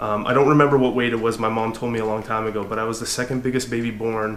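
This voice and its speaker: A man talks very fast with a Californian accent in a medium pitch. Noticeable background noise and audible room echo surround him. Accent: Californian American English. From US, Southern California. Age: 30s. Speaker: hiking vlogger. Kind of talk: casual vlog monologue. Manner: halting with many fillers.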